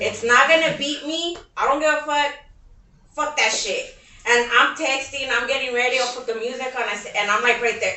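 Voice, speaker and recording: There is audible room echo as a woman speaks at a moderate pace with a high pitch. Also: ordinary pitch variation. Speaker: podcast co-host. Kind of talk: casual chat.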